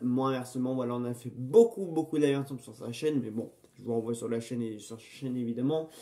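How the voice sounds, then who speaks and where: In an English accent, a man speaks with a dark, mellow tone. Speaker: film review YouTuber. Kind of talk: casual unboxing vlog. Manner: hesitant, many fillers and repetitions.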